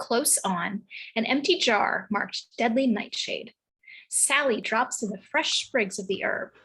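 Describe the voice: The speaker delivers plain reading aloud with ordinary pitch variation. The background is quiet.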